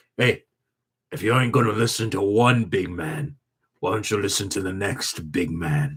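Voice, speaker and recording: A put-on, raspy character voice in a Cockney accent at a moderate pace. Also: man, fairly low pitch for a man. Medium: actual play. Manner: low, threatening.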